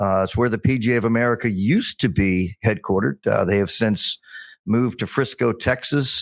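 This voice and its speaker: An unremarkable speaking voice from a man, medium in pitch, at a moderate pace with ordinary pitch variation, on a very clean recording with a silent background. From US Mid-Atlantic (Bethesda, Maryland). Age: 60s. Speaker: golf communications executive and podcaster. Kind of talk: casual interview chat.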